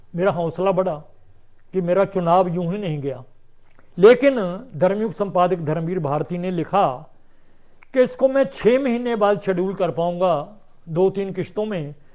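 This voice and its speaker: Against a quiet background, a man with a high pitch and ordinary pitch variation speaks with long, frequent pauses. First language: Punjabi (speaking Hindi). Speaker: writer and translator. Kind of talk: interview.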